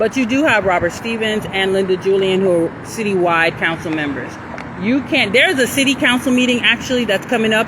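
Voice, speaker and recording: Moderate pace against noticeable background noise. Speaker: community activist livestreamer. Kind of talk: casual livestream chat. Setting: outdoors walking. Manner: loud; halting.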